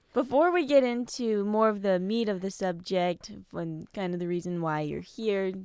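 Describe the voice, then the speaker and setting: A woman with an American accent and an unremarkable speaking voice, medium in pitch, lively in intonation, at a moderate pace, in a very clean recording with a silent background. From United States. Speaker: podcast host. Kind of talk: casual interview; scripted intro.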